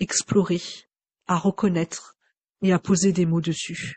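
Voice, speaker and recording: The voice is somewhat breathy, with monotone, flat intonation. It moves at a very slow pace. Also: woman. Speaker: Gestalt psychotherapist. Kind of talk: unscripted personal reflection. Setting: home microphone recording. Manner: hesitant, many fillers.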